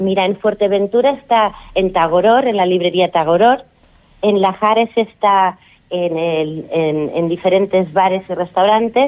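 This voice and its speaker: An unremarkable speaking voice delivers its words at a fairly slow pace with ordinary pitch variation. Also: woman, medium pitch for a woman. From Catalonia, Girona. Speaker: author. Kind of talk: radio interview.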